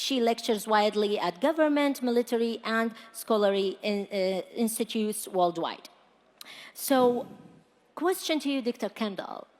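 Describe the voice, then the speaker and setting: A woman with an American accent and an ordinary speaking voice talks at a moderate pace in a fairly high pitch with lively intonation. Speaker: panel moderator. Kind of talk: panel discussion.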